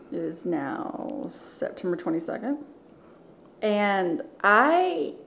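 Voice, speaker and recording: A woman's medium-pitched voice swinging very widely in pitch, very slow with long, frequent pauses, amid noticeable background noise and audible room echo. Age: 40s. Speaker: former Marine. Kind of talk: casual chat.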